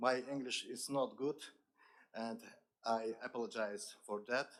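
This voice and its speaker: At a fairly slow pace, a man talks with an Azerbaijani accent. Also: medium pitch for a man, ordinary pitch variation. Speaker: accessibility expert. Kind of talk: conference speech.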